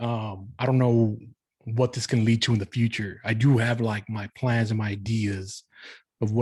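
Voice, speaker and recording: The recording is very clean with a silent background. A man speaks somewhat breathily in a flat monotone. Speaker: dancer and podcast host. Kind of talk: casual monologue. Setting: pre-recorded live stream. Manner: halting, many fillers.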